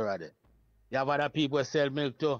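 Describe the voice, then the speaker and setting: In a Jamaican accent, a man talks at a moderate pace, the sound dry with no echo. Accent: Jamaican Patois-accented English. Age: 70s. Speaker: Rastafari priest and elder. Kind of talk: oral history reasoning. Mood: calm, reflective. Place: home room. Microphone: old recording.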